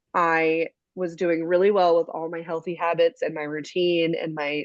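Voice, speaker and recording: Against a quiet background, a woman speaks in a fairly low pitch, in a dry, close sound with no echo. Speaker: fitness studio owner and instructor. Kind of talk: casual group video call kickoff. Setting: video call. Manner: fast.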